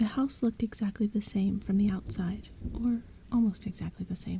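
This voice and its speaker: Soft-spoken delivery at a moderate pace. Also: woman. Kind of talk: bedtime story reading.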